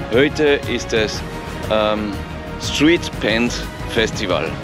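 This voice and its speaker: A man speaks over clear music in the background. The sound is dry, with no echo. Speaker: travel vlogger. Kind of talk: casual vlog chat. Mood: cheerful, anticipating. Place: street. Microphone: phone near.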